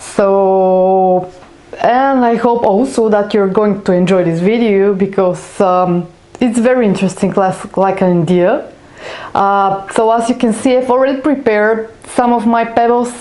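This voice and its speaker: A woman with a non-native accent, a medium pitch and ordinary pitch variation, at a fairly slow pace with very even loudness and audible room echo. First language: not English. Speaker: craft YouTuber. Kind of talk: tutorial. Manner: halting, many fillers.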